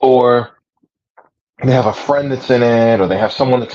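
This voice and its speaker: A man with an unremarkable speaking voice talks at a medium pitch and a moderate speed. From United States, Puerto Rican family. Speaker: livestream host and religious practitioner. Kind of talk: casual chat. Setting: livestream.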